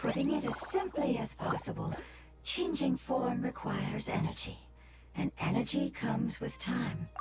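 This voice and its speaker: Someone does a put-on character voice at a moderate pace, with a slight echo and clear background noise. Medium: game stream. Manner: calm, gentle, measured.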